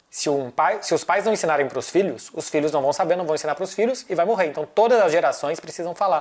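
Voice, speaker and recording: A man's high voice at a very fast pace, ordinary pitch variation and hardly any pauses. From Brazil. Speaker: football journalist. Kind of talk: casual chat.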